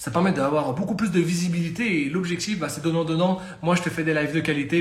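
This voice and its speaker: Amid audible room echo, a man talks at a very fast pace in an animated tone, his pitch high with ordinary pitch variation. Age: 20s. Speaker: fitness coach. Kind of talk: live-stream talk. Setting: live stream.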